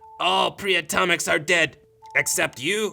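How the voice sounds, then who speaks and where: Someone speaks in a put-on character voice while faint music plays in the background. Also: man, high pitch for a man, moderate pace. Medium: audio drama. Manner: calm, gentle.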